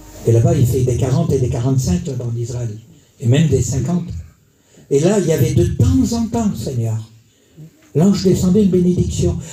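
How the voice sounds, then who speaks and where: A man with very wide pitch swings and long, frequent pauses, in audible room echo. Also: medium pitch for a man, moderate pace. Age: 60s. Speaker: preacher. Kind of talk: sermon. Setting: church. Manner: animated.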